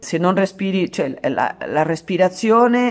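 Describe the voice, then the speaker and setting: With a Spanish accent, a woman talks at a fairly slow pace using lively intonation. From Argentina, San Juan. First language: Spanish (speaking Italian). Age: 50s. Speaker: actress and art therapist. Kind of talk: radio interview.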